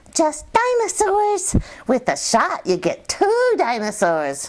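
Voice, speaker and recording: A squeaky, put-on character voice at an extremely high pitch, cheerful in tone and fairly slow in pace. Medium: read story. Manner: cheerful, matter-of-fact.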